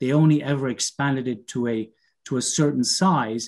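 With ordinary pitch variation and a moderate pace, a man talks over a quiet background. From Canada. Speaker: business consultant; webinar presenter. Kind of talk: webinar presentation. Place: home room. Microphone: video call.

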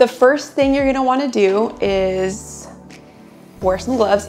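Over faint background music, a woman speaks at a moderate pace with fairly even intonation. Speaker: waxing instructor. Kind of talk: tutorial. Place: shop.

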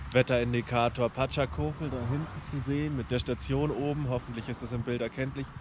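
Over noticeable background noise, a man speaks with hardly any pauses, the sound dry and free of echo. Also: ordinary pitch variation, fairly quick pace. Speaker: travel vlogger. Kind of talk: casual vlog chat. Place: open country. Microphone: phone near.

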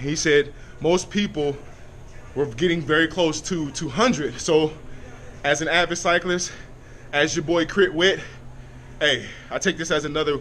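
A man talks at a fairly slow pace with ordinary pitch variation, leaving long, frequent pauses over light background noise. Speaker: vlogger reporting fitness test results. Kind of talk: casual vlog chat. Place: gym. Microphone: phone near.

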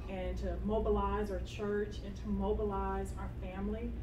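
Background noise is noticeable in this clip. A woman's voice sounds over it. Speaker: mayoral candidate and city council member. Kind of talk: campaign speech and Q&A at community meeting. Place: meeting room. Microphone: camera far.

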